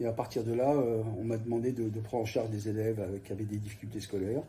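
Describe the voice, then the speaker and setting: A man at medium pitch with a dark, mellow tone, somewhat breathy, at a very fast pace. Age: 60s. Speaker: youth guidance counsellor, former journalist. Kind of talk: interview. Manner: halting, many hesitations.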